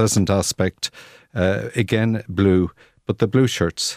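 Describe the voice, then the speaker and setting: With an Irish accent, a man talks at a fairly slow pace with fairly even intonation, the sound dry and close with no echo. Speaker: historian and author. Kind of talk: radio interview.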